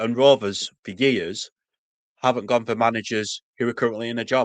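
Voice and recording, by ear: Delivery comes at a moderate pace with fairly even intonation. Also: man, medium pitch for a man.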